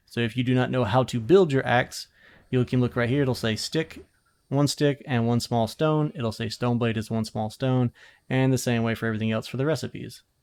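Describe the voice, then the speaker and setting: On a very clean recording with a silent background, a man speaks at a medium pitch with fairly even intonation. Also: fairly quick pace. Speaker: gaming youtuber. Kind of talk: tutorial. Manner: fast.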